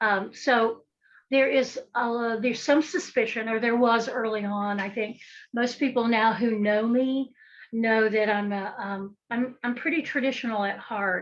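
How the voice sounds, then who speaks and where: Against a quiet background, a woman speaks with a fairly high pitch and fairly even intonation. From western North Carolina, Appalachia. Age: 60s. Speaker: folk magic practitioner and author. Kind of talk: podcast interview.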